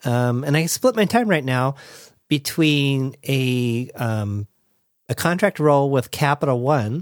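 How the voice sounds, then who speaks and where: A man with an American accent at a very slow pace, with ordinary pitch variation, in a very clean recording with a silent background and a dry, close sound with no echo. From US, Southern California (Orange County). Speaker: life coach and podcast host. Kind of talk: interview, casual conversation.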